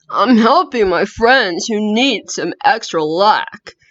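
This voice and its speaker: A woman's put-on character voice, fairly high-pitched, at a fairly slow pace. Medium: read story.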